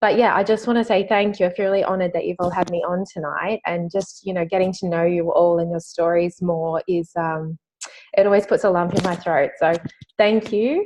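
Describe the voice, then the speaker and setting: Speaking with an Australian accent, a woman talks at a fairly quick pace. Her pitch is medium, with ordinary variation. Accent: thick Australian. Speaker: network marketing distributor. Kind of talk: testimony. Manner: halting.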